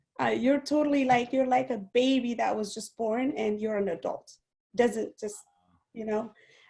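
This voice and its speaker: A woman with a non-native accent speaks at a moderate pace. Her fairly high voice has a dark, mellow tone. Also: ordinary pitch variation. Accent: foreign. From outside the US, immigrant. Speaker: guest speaker, network marketing leader. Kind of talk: interview on an online training call.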